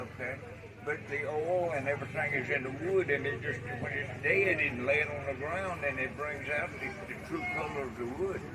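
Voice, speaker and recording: Audible room echo and noticeable background noise surround a man speaking at a fairly high pitch, with ordinary pitch variation and a moderate pace. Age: 70s. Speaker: wood artist. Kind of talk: interview.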